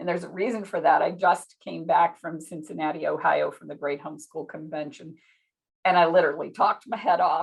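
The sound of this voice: A woman puts on a hoarse character voice with a fairly low pitch. She talks at a fairly quick pace.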